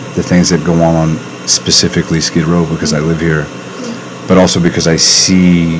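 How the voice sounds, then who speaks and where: Against noticeable background noise, a man with a very deep, low pitch talks fairly quickly in a flat monotone. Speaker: podcast host. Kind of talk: casual interview. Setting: podcast studio. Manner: loud.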